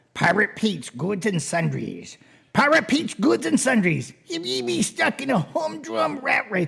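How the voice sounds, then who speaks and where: The speaker puts on a character voice, pitched in the middle range. The delivery is moderately paced. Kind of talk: pirate speech. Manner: advertising pitch.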